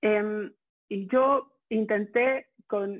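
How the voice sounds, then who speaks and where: A woman with a fairly high pitch against a quiet background. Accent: Mexico City. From Mexico City. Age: 30s. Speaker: journalist. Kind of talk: interview. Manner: hesitant, many fillers.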